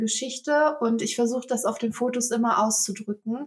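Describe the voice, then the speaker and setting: A woman is speaking here. Her pitch is high and her pace fairly slow. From Germany, Velbert (Kreis Mettmann, near Ruhr area). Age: 20s. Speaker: photographer. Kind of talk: casual interview. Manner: frequent fillers (ähm, äh).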